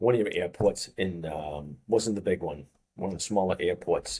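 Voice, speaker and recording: In a Boston accent, the speaker delivers words at a fairly slow pace with a dark, mellow tone. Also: man. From US Northeast, Boston. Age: 50s. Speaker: fitness coach. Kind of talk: interview. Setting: studio.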